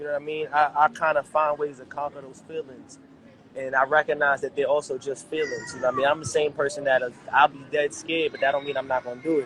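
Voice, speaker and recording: Speaking very fast in a monotone, flat way, a man with an American accent has a fairly high pitch and big swings in loudness, with noticeable background noise behind him. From New York City, Harlem. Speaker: rapper. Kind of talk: casual interview.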